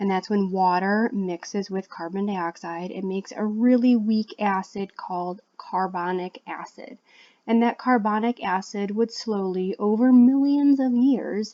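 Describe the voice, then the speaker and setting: Here is a woman with a plain, everyday voice at medium pitch. She moves at a fairly slow pace with ordinary pitch variation. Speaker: science teacher. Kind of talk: recorded lesson.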